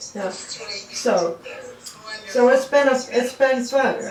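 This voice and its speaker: Woman's high voice, noticeable noise in the background and audible echo from the room. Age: 80s+. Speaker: birthday celebrant. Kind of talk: casual chat. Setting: video call.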